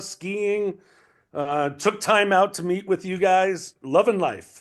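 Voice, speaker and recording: A man's high-pitched voice at a very slow pace, over a quiet background. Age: 60s. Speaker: former band assistant turned speaker and music event organizer. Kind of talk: casual interview chat. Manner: animated.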